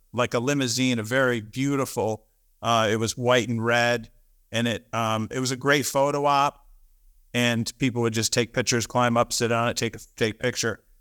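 On a very clean recording with a silent background, a man with a bright, sharp tone speaks at medium pitch and a moderate pace with fairly even intonation. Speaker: wedding venue owner. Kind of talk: casual chat.

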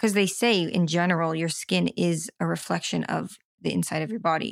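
This woman has an unremarkable speaking voice with a fairly low pitch and an American accent. She talks at a moderate pace. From Florida, US. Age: 20s. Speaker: recovery story guest, floral designer. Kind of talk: personal testimony interview.

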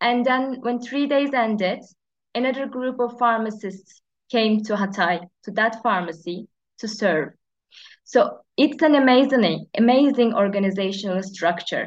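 At a fairly slow pace and a fairly high pitch, a woman with a Turkish accent speaks with ordinary pitch variation against a quiet background. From Turkey. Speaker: pharmacist. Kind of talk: interview. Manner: halting.

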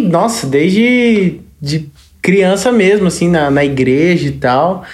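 A woman speaks at a very slow pace and a fairly low pitch, with very wide pitch swings. Noticeable background noise and audible room echo surround her. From Brazil, Registro, Vale do Ribeira (São Paulo state). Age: 20s. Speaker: sertanejo singer. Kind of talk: casual chat.

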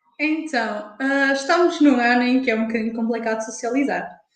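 This voice has ordinary pitch variation, and audible room echo is present. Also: woman. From Portugal, Porto. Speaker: university student. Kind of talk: casual chat. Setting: live stream.

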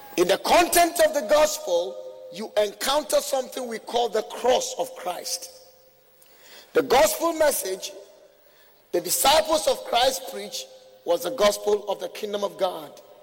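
A man speaks in an animated tone at a fairly slow pace, with long, frequent pauses. Background noise is noticeable. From Ghana. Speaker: visiting preacher. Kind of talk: sermon. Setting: church with congregation.

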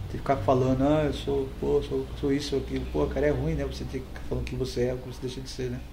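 There is noticeable background noise and audible room echo as a man speaks at a very fast pace. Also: hardly any pauses, big swings in loudness. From Brazil, Embu das Artes (São Paulo). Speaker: community centre founder and former rapper. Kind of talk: interview. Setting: in person at his community centre. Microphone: volume may vary between louder and quieter.

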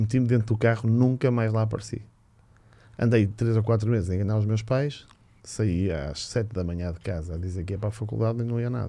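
Delivered at a fairly quick pace, the voice has a dark, mellow tone and ordinary pitch variation. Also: man, fairly low pitch for a man. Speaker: handball coach. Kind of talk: casual chat.

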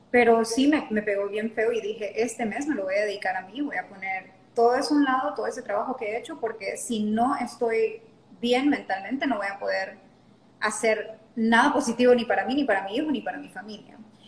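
Talking at a fairly quick pace, a woman with a fairly high voice shows ordinary pitch variation and big swings in loudness. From Honduras (La Lima). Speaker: yoga teacher. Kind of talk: interview conversation.

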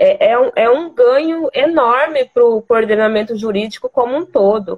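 Using a normal speaking voice, a woman talks with ordinary pitch variation and a fairly slow pace. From Mato Grosso, Brazil. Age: 20s. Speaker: lawyer. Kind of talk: interview.

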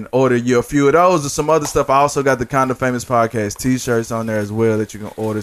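A man's normal speaking voice, medium in pitch with fairly even intonation. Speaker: podcast host. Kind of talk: casual, slangy.

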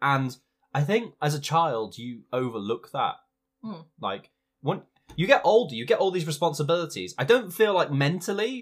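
A man with vocal fry talks at a moderate pace, his pitch swinging very widely. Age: 20s. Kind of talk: casual chat.

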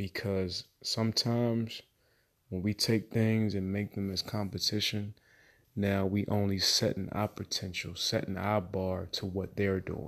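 A man with a fairly low pitch speaks at a fairly slow pace in monotone, flat intonation over a quiet background. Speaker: real estate investor podcaster. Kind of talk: casual solo monologue. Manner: halting, many fillers.

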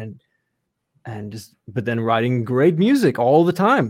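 A man with a Californian accent at a moderate pace. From US West Coast, Los Angeles area. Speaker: composer. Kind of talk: casual interview.

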